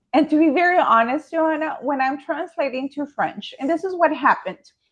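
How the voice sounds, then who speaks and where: This woman has a Spanish accent. She talks at a moderate pace. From Mexico. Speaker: author and high school French teacher. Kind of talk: interview conversation.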